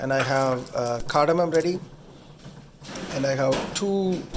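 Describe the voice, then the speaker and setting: Noticeable background noise sits behind a man talking at a fairly slow pace. His pitch variation is ordinary. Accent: Tamil. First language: Tamil. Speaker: home cook video host. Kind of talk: cooking tutorial. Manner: halting, many fillers; casual.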